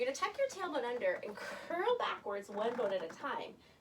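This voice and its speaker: A woman talks at a moderate pace with very wide pitch swings. Noticeable background noise is present. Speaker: Pilates instructor. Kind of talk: guided exercise class instruction. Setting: home basement studio.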